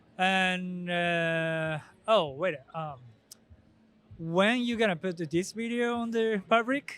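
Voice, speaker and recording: Speaking at a very slow pace with long, frequent pauses, a man uses a high pitch and ordinary pitch variation. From Japan. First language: Japanese. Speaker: professional drifter. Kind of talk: casual interview. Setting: outdoors at car show event. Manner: halting, hesitant.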